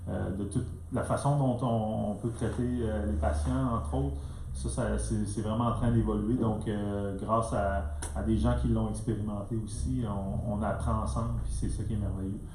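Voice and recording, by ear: A man is heard with audible room echo and clear background noise. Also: fairly low pitch for a man, fairly even intonation, moderate pace.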